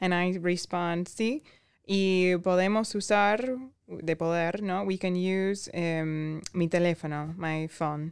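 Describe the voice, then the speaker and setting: A woman with an Argentine accent, fairly low in pitch, at a very slow pace with fairly even intonation, on a very clean recording with a silent background. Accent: Argentine Spanish (Rioplatense). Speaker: guest, medical professional. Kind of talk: casual chat, language-learning podcast.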